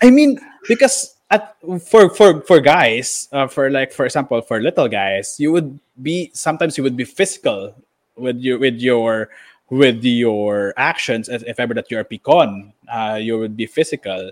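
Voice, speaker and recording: A man with a normal speaking voice talks at a moderate pace and medium pitch with lively intonation, in a very clean recording with a silent background and dry, close sound with no echo. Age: 20s. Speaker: podcast host. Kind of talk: casual chat.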